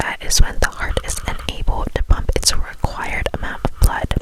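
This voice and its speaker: Amid noticeable background noise, a woman whispers at a fairly slow pace. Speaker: ASMR creator. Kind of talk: ASMR textbook reading, soft relaxing read-aloud. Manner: whispered, soft.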